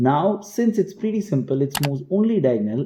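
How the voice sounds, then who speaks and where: Fairly quick and somewhat breathy, a man's dark, mellow voice moves through very wide pitch swings. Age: 20s. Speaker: chess coach. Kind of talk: tutorial.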